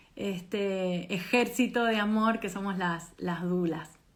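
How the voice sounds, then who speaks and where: A woman speaks at a medium pitch with ordinary pitch variation, in an Argentine accent. Audible room echo surrounds her voice. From Argentina. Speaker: doula trainer. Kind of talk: online presentation.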